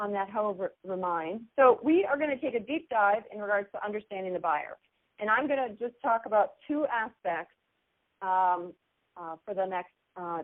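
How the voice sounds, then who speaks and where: An enthusiastic woman speaks at a moderate pace and a fairly high pitch. Her intonation is lively, with big swings in loudness. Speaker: marketing trainer. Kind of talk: teleconference training presentation. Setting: phone teleconference. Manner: loud and enthusiastic.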